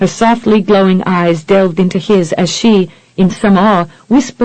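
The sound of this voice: What you hear is an unforced reading voice.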